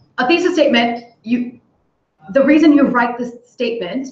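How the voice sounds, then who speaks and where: There is audible room echo around a woman's voice. She has an Indian accent. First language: Hindi. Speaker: English tutor. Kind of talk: online workshop lesson. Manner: animated.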